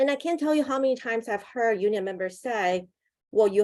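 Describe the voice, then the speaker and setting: Speaking with a Mandarin accent, a woman talks at a fairly quick pace with lively intonation. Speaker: union campaigner. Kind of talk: webinar panel presentation.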